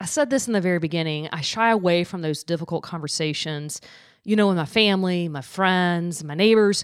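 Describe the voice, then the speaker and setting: Over a silent background in a very clean recording, a woman uses an ordinary speaking voice, fairly low in pitch, with ordinary pitch variation at a fairly quick pace. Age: 40s. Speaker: podcast host. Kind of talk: interview. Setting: studio.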